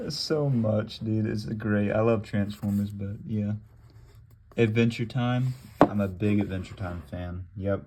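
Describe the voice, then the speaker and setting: At a fairly slow pace, a man talks in a plain, everyday voice, fairly low in pitch with ordinary pitch variation. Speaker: gaming youtuber. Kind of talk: casual show-and-tell vlog.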